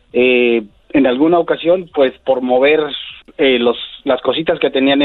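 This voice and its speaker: A man with a fairly high pitch talks at a fairly slow pace while music plays in the background. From Mexico City. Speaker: cleaning business owner. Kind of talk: interview. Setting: phone call.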